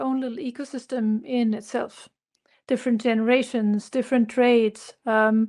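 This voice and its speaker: A woman with a German accent speaks at a high pitch and a moderate pace in a monotone, flat way. The recording is very clean with a silent background. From southern Germany, near Munich. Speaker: consultant, company founder. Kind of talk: interview.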